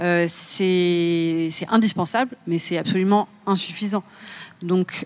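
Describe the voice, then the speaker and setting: A woman talks in a normal speaking voice, fairly low in pitch, with fairly even intonation. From Seine-et-Marne, France. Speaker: podcaster and climate consultant. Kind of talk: panel discussion.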